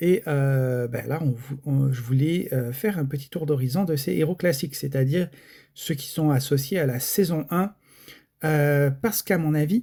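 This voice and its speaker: A man's dark, mellow, somewhat breathy voice, fairly high in pitch with ordinary pitch variation and a fairly slow pace, on a very clean recording with a silent background. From France. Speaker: gaming YouTuber. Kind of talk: casual video commentary. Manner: hesitant, many fillers.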